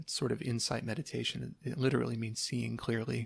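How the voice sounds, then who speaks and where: A man speaks in a soft-spoken voice. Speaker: ASMR creator. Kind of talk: casual talk to camera.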